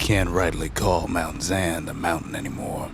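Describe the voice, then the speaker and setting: A man's put-on character voice, raspy and very deep, at a moderate pace with fairly even intonation over clear background noise. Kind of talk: folksy game narration. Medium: video game. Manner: laconic, drawling, dry-humored.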